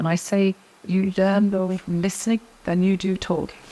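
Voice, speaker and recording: A woman speaks at a moderate pace and medium pitch. Noticeable background noise is present. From Ireland. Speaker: senior education administrator. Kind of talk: podcast interview. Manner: halting, with many fillers.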